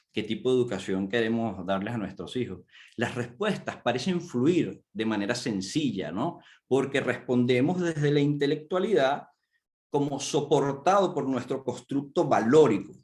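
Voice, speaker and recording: Here a man has an unremarkable speaking voice at medium pitch. He talks at a fairly slow pace. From Venezuela. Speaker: coach, conference speaker. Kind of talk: conference talk. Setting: virtual conference.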